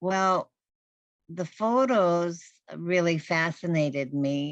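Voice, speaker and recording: A woman's very slow delivery with ordinary pitch variation. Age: 80s+. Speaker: Lakota elder sharing family history. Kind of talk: radio call-in storytelling. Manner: halting, many fillers.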